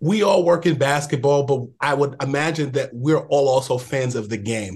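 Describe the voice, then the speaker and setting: In a quiet setting, a man with a somewhat breathy, fairly high voice speaks at a moderate pace with ordinary pitch variation. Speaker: radio and podcast interviewer. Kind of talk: casual interview.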